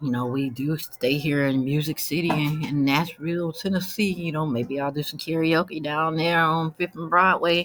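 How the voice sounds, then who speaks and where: Moderate speed in an American accent, noticeable noise behind it. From Cleveland, Ohio. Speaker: vlogger and author. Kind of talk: casual monologue.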